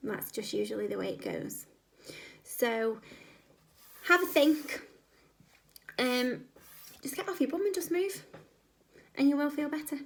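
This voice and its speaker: A woman talks in a squeaky, high voice with lively intonation. Her pace is moderate, broken by long, frequent pauses. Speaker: video creator giving fitness advice. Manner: casual, chatty, with filler pauses.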